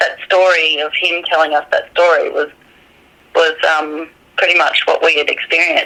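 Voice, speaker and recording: Pausing long and often, a woman with an Australian accent keeps a moderate pace over noticeable background noise. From Australia, New South Wales mid north coast. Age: 30s. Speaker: witness. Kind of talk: interview.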